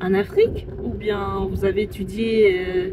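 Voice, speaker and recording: A woman speaks at a medium pitch. Noticeable background noise sits behind her voice. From Cameroon. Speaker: call centre agent. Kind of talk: casual talk to camera, storytelling. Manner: hesitant, many fillers.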